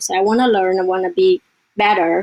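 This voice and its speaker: A woman with a Vietnamese accent and ordinary pitch variation. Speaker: real estate investor and academy member. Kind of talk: casual interview.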